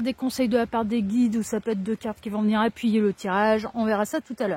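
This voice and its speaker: A woman speaks at a fairly quick pace with a fairly high, somewhat breathy voice. The sound is dry and close, with no echo. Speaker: tarot card reader. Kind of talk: tarot reading. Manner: casual.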